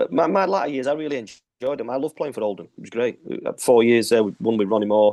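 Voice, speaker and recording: Talking at a very fast pace with hardly any pauses, a man with a Yorkshire accent has a medium pitch and a dark, mellow tone. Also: lively intonation. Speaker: retired footballer. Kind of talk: interview.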